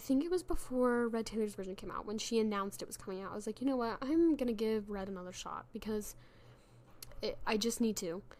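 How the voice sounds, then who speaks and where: Her pitch varies in an ordinary way as a woman speaks at a very fast pace. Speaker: podcast host. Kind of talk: casual chat. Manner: halting; animated.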